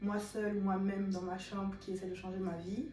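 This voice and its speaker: Room echo can be heard as a woman speaks. Background noise is noticeable too. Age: 20s. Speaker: vlogger and medical student. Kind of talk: casual vlog talk to camera.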